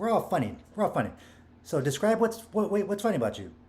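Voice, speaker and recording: Racing at a very fast pace, a man talks with very wide pitch swings. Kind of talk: casual motivational talk to camera. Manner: rambling, repetitive.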